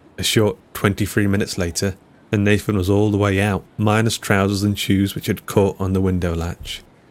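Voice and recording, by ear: Someone reads out loud, sounding natural.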